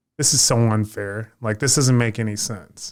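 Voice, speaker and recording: A man with an ordinary speaking voice talks at medium pitch and a moderate pace on a very clean recording with a silent background. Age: 20s. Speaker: podcast co-host. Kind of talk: casual podcast discussion.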